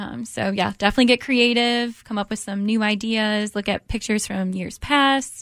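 In an American accent, a woman with a normal speaking voice talks at a fairly high pitch and a moderate pace, with fairly even intonation, hardly any pauses, and a very clean recording with a silent background. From US Midwest, Detroit area, Michigan. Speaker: charity development director. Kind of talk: radio interview.

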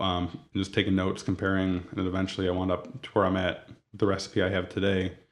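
Speaking at a very fast pace, a man delivers his words in a very deep, low pitch with flat, monotone intonation. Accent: American. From Toledo, Ohio, US Midwest. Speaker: donut shop owner. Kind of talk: interview.

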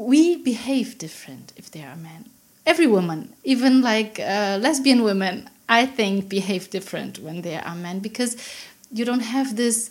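Somewhat breathy and lively in intonation, this voice moves at a moderate pace with big swings in loudness. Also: woman, fairly high pitch for a woman. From Berlin, Germany. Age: 40s. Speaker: sex party organizer. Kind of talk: casual chat. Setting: home kitchen. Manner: laughs a lot.

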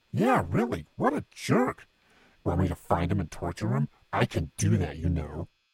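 A put-on character voice from a man, very deep and raspy, with a menacing tone, lively intonation and a moderate pace. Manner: eager, menacing.

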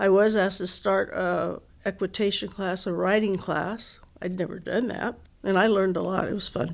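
A woman with vocal fry speaks at a medium pitch and a moderate pace, her intonation fairly even. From Southern California, Orange County. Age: 80s+. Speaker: retired athletics director. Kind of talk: interview.

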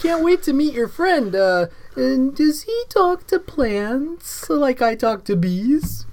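Using a put-on character voice, a woman speaks in a high pitch at a fairly slow pace with very wide pitch swings, light background noise behind her. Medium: actual play. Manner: hesitant, halting.

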